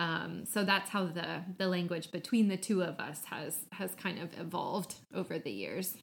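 A woman with a Midwestern American accent speaks at a moderate pace with fairly low pitch, vocal fry and fairly even intonation, barely pausing. The recording is very clean, with a silent background. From US Midwest. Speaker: podcast guest, marketing professional. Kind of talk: casual chat.

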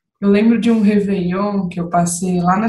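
Somewhat breathy and at a medium pitch, a woman talks with fairly even intonation over audible room echo. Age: 30s. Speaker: manager. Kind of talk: casual chat.

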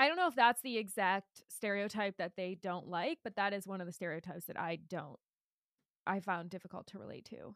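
A woman talks in a normal speaking voice at a medium pitch and a fairly quick pace, with ordinary pitch variation. The recording is very clean, with a silent background and a dry, close sound with no echo. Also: big swings in loudness. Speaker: podcast co-host. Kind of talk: casual chat about a book.

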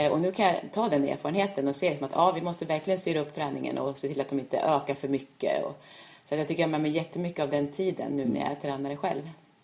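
A woman speaks at a very fast pace with a very deep, low pitch and ordinary pitch variation. Noticeable background noise runs underneath. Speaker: orienteering coach and former world champion. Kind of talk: casual interview. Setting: at home. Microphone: far from the mic, too quiet.

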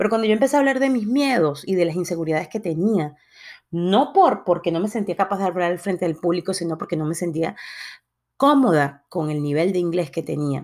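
A woman speaks in a plain, everyday voice at a fairly low pitch. Her pace is fairly quick and her intonation lively. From Latin America. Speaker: podcast host. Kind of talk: motivational monologue.

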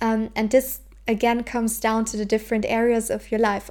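This woman has a German accent and a fairly high pitch. She talks at a moderate pace. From southern Germany. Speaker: podcast host. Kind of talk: solo personal-growth talk. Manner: casual, frequent laughter.

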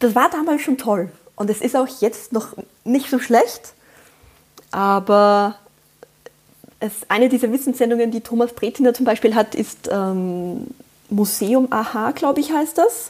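A woman with a slight Austrian accent speaks at a fairly slow pace, with long, frequent pauses. Her voice sits fairly high, with ordinary pitch variation. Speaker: podcast guest, mother. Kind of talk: casual chat.

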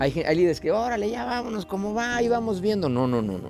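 Talking at a very fast pace in a Mexican accent, a man sounds animated, his pitch swinging very widely. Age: 50s. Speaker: pastor. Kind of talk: motivational sermon.

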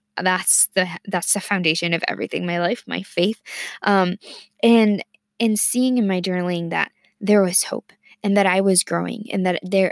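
Medium-pitched female speech at a moderate pace, fairly even in intonation, dry and close with no echo. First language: Spanish. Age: 20s. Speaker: student podcaster. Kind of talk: personal monologue. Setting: studio. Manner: halting, many fillers.

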